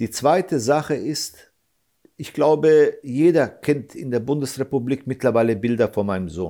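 Delivered at a moderate pace with lively intonation, the dark, mellow tone comes through on a very clean recording with a silent background. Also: man, medium pitch for a man. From Germany, Hesse. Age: 40s. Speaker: father of an attack victim, activist. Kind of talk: interview. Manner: halting.

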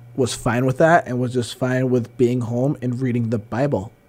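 Over noticeable background noise, the speaker uses fairly even intonation with an American accent. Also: man. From Berkshires, Massachusetts. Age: 30s. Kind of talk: casual chat. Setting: studio.

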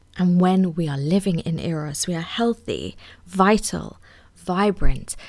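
Against a very clean recording with a silent background, a woman with an unremarkable speaking voice talks at a fairly slow pace in a fairly low pitch. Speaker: sex educator podcast host. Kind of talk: solo teaching monologue.

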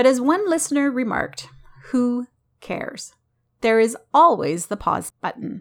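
A warm, enthusiastic tone at a moderate pace. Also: woman. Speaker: podcast host and graphologist. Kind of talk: interview podcast with handwriting analysis.

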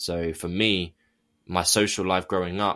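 With a southern English accent, the speaker is heard in a very clean recording with a silent background. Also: man. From England, near London. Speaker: author and abuse survivor activist. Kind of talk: interview testimony.

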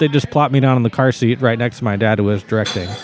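There is noticeable background noise behind this recording. A man speaks at a medium pitch with an American accent. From Texas, Austin. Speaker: musician (trumpet and keyboard player). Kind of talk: casual chat.

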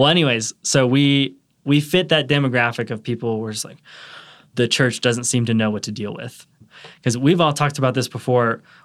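An ordinary speaking voice from a man of medium pitch, with ordinary pitch variation and big swings in loudness, in a very clean recording with a silent background. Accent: American. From US South, Atlanta, Georgia. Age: 20s. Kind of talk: casual chat.

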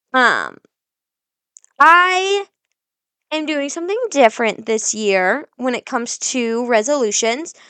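A raised, projected voice with a bright, sharp tone swings very widely in pitch. It moves very slowly with long, frequent pauses, in a dry, close sound with no echo. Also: woman, high pitch for a woman. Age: 20s. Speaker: podcast host, young mother. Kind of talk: casual solo monologue. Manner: informal, rambling.

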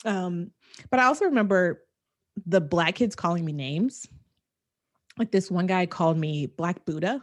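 Her tone animated and intonation lively, a woman speaks at a medium pitch and moderate pace, taking long, frequent pauses. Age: 40s. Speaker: podcast co-host. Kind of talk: casual chat.

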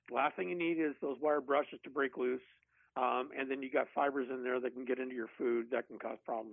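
A man speaks in a plain, everyday voice at a fairly quick pace. His pitch variation is ordinary. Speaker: barbecue expert. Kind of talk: casual chat.

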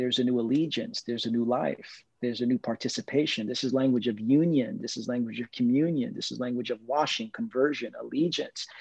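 An ordinary speaking voice from a man with an American accent, medium in pitch with ordinary pitch variation, over a quiet background. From Brooklyn, New York. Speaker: pastor. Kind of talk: casual chat.

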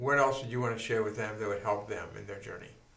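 Fairly even intonation from a man, with noticeable background noise behind him. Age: 70s. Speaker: pastor and podcast host. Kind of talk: interview. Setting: studio.

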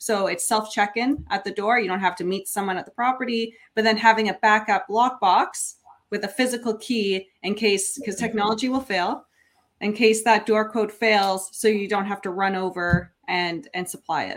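With an ordinary speaking voice, a woman talks at a moderate pace and medium pitch, keeping her intonation fairly even. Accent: Canadian. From Niagara region, Ontario, Canada. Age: 30s. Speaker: short-term rental investor and property manager. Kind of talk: podcast interview.

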